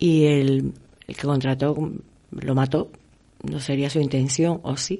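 A woman's very deep, low voice with a dark, mellow tone, very slow pace, flat monotone delivery, and long, frequent pauses. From Canary Islands. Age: 50s. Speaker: actress. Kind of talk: interview.

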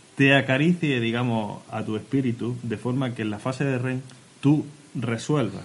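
A man speaks in an unremarkable speaking voice at a medium pitch. His pitch varies in an ordinary way. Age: 20s-30s. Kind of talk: casual chat.

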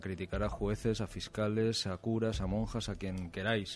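The intonation is flat and monotone. The pace is moderate. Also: man. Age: 40s. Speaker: radio host. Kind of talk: radio talk show. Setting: studio.

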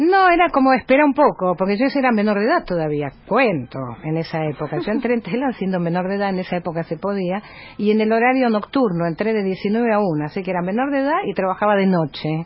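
Speaking very fast at a medium pitch, this woman lets her voice swing very widely up and down. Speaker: journalist and news agency editor. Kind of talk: radio interview.

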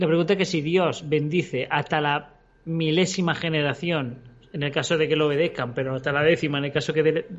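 Here a man speaks in a fairly high voice. His intonation stays fairly even. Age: 30s. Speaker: ex-Jehovah's Witness, religion commentator. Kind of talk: live-streamed debate podcast. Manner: halting.

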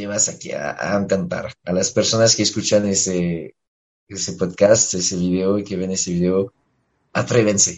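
A man with a French accent speaks at a moderate pace. His pitch is fairly low and his intonation fairly even. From France. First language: French (speaking Spanish). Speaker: musician. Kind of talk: radio interview. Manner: halting.

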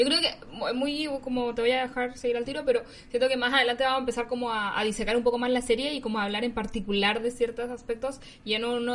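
With a Chilean accent, a woman talks at a very fast pace and a fairly high pitch, with ordinary pitch variation and noticeable background noise. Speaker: podcast co-host. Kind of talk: casual chat.

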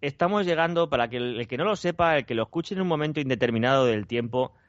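Using an ordinary speaking voice, a man talks at a fairly high pitch with lively intonation. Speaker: podcast co-host. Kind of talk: casual chat.

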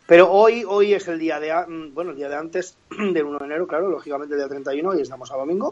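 A man with a high pitch, ordinary pitch variation and a fairly quick pace with hardly any pauses. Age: 30s. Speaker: comedian and impressionist. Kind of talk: casual chat.

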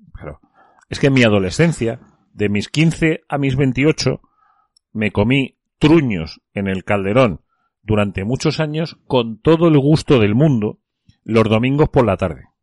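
A man at medium pitch speaks fairly slowly, with long, frequent pauses, an animated tone and lively intonation. The sound is dry and close with no echo. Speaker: radio host. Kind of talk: casual chat.

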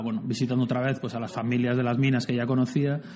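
Very fast male speech at a medium pitch, with fairly even intonation and noticeable background noise. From Basque Country, San Sebastián. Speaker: writer and adventurer. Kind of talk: interview.

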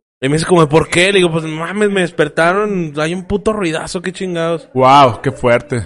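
Speaking in a Mexican accent at a moderate pace, a man uses a high pitch and lively intonation. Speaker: podcast co-host. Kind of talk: casual chat. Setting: studio.

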